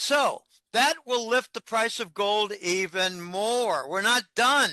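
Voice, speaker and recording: In a raised, projected voice with a bright, sharp tone and lively intonation, the speaker goes at a very slow pace, with a dry, close sound with no echo and a quiet background. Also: man, high pitch for a man. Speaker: financial analyst. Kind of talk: interview.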